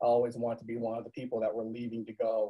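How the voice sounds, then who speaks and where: Speaking very fast in a monotone, flat manner, a man with an American accent keeps to a medium pitch. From US South, Virginia. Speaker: university staff director. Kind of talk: personal storytelling panel. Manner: halting.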